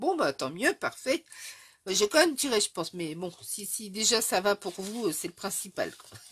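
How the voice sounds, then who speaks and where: A woman speaks at a fairly high pitch. Both her loudness and her pitch swing widely, the pitch very much so. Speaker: scrapbooking youtuber. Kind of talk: live stream chat with viewers. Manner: casual, hesitant with fillers; tries to speak not too fast.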